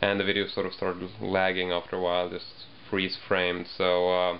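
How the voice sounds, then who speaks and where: Light background noise behind a man's moderate pace. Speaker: video blogger. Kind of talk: casual vlog chat. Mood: relaxed, slightly sheepish. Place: home room. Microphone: webcam.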